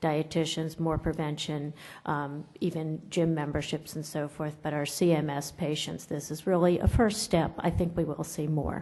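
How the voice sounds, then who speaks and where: A woman speaks with very deep, low pitch. Her intonation is monotone and flat. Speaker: nutrition professor. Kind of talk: conference lecture. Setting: conference room with audience. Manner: loud.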